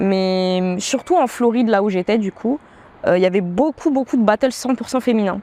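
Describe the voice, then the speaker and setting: A woman with a fairly high pitch talks at a moderate pace, recorded with a dry, close sound and no echo. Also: ordinary pitch variation. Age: 20s. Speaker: professional dancer and beatmaker. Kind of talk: interview. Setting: outdoor terrace. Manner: hesitant, many filler sounds.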